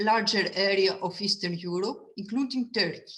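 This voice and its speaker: A woman speaks at a medium pitch with a Greek accent. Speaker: museum curator. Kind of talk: lecture. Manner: halting.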